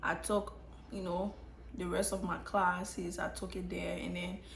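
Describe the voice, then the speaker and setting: Noticeable background noise and audible room echo accompany speech at a moderate pace. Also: woman. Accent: American. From Liberia. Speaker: YouTuber, nursing student. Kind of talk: casual story time vlog. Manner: conversational with frequent fillers and restarts.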